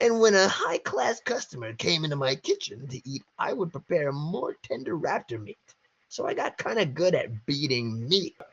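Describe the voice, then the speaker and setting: A put-on character voice, pitched in the middle, comes at a moderate rate. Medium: read story. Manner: casual, joking.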